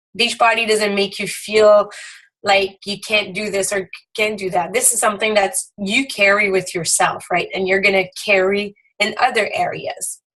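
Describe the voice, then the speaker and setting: A woman with a French Canadian accent speaks at a moderate pace in a bright, sharp tone. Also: medium pitch for a woman, fairly even intonation. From Quebec. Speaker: direct sales team leader. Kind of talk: motivational talk.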